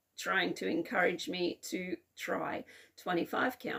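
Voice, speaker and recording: A woman of medium pitch speaks with an Australian accent and lively intonation. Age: 40s. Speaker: cross-stitch video blogger. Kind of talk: casual hobby vlog. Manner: casual, with frequent fillers (um, uh).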